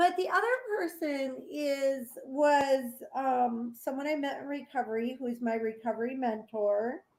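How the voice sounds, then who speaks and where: The speaker is a woman with a high-pitched voice and ordinary pitch variation. She talks at a fairly slow pace. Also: hardly any pauses. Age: 60s. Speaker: nonprofit founder, family recovery advocate. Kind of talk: interview.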